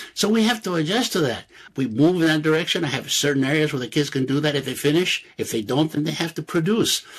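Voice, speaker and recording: Lively intonation marks this man's fairly high-pitched voice. He speaks at a very fast pace. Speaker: retired school principal. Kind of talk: interview.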